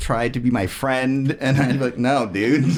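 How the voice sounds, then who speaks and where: There is noticeable background noise as a man speaks at medium pitch. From born in Germany, army family, raised in the US. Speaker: musician. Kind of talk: casual interview chat. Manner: casual, many fillers.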